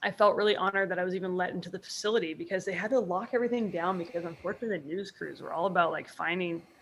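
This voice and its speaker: Speaking at a very fast pace with hardly any pauses, a woman uses a medium pitch and an American accent. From US Northeast, Boston. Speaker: sports artist. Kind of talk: casual interview chat. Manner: animated, halting with fillers.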